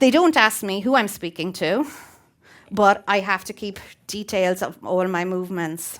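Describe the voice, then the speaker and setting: In an Irish accent, a woman speaks at a moderate pace with big swings in loudness. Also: medium pitch for a woman, ordinary pitch variation. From Ireland (Waterford). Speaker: teacher. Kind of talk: prepared talk.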